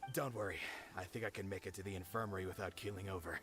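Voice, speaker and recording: A man does a put-on character voice at a fairly low pitch and a very fast pace. Clear background noise can be heard. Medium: video game.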